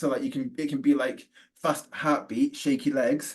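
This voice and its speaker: A man speaks at a fairly quick pace with a British accent. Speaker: neurodiversity trainer and forest school leader. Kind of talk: webinar presentation. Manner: fast.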